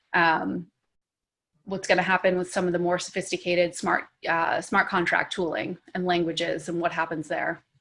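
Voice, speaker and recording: A woman's fairly low voice comes across in a flat monotone, in a very clean recording with a silent background. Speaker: marketing executive. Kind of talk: podcast interview answer. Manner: fast.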